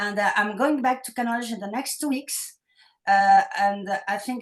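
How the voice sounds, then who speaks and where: A woman talks with a French accent. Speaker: novelist. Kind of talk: online meeting remarks. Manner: hesitant.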